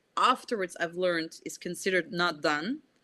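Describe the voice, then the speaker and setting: At a moderate pace, a woman speaks with a bright, sharp tone in a dry, close sound with no echo. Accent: non-native. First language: not English. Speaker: indie author. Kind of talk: casual chat. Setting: video call.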